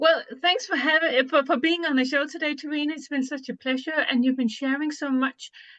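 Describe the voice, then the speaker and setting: A high-pitched woman with a Danish accent. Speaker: podcast co-host. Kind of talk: interview.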